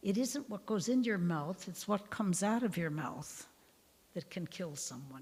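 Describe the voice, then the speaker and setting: A woman speaks at a medium pitch with a somewhat breathy voice. Her pace is moderate, and her pitch swings very widely. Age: 80s+. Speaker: nun giving a parish Bible talk. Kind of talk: lecture with group discussion. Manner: informal, warm.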